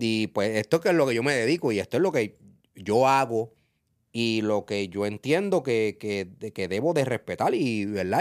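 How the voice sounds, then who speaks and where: Lively intonation marks this man's medium-pitched voice as he talks at a moderate pace. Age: 40s. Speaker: reggaeton industry figure. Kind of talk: casual interview. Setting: studio. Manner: animated.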